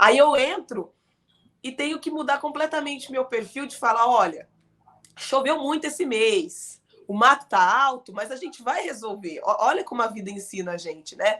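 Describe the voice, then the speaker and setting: A woman's high-pitched, bright, sharp voice at a moderate pace, with lively intonation and big swings in loudness. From Araraquara, São Paulo state, Brazil. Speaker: politician. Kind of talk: interview. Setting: live studio broadcast.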